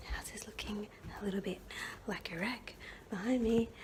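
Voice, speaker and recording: A fairly high-pitched woman's voice in monotone, flat intonation over noticeable background noise. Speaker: vlogger, mother. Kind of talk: personal testimony vlog. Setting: at home. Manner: soft-spoken; hesitant, many fillers.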